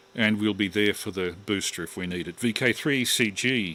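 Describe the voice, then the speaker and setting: Bright and sharp in tone, a man with an Australian accent talks at a fairly low pitch with fairly even intonation. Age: 60s. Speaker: amateur radio operator. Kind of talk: amateur radio net chat.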